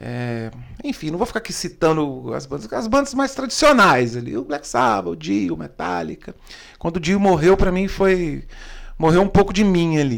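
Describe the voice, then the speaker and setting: Here a man talks at a moderate pace in a fairly high pitch. His voice shows very wide pitch swings. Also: very clean recording, silent background. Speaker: podcast host. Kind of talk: casual interview. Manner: animated.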